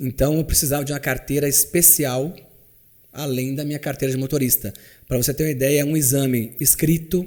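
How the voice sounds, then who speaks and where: A man with a fairly high pitch and a dark, mellow tone, fairly quick, with fairly even intonation. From Minas Gerais, Brazil. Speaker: chauffeur. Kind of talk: interview answer.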